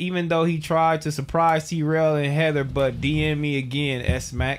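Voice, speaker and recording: A high-pitched man at a fairly slow pace. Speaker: podcast host. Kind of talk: casual chat. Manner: animated.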